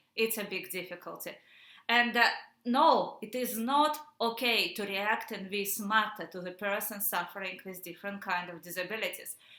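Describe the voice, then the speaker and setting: Here a woman talks with a Russian accent. Her loudness swings widely. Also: medium pitch for a woman, ordinary pitch variation, moderate pace. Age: 30s. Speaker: activist. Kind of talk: personal testimony. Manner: halting, many fillers.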